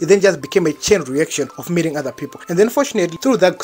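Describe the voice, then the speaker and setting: A man talks at a very fast pace in a strong Zimbabwean accent with ordinary pitch variation. Music plays in the background. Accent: thick Zimbabwean. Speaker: vlogger, university student. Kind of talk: storytime vlog. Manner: casual, slangy.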